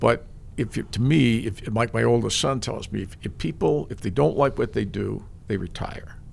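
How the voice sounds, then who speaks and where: At a moderate pace, a man talks with a Midwestern American accent. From US Midwest, East Lansing, Michigan. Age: 70s. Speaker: sports broadcaster. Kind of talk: interview. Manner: halting.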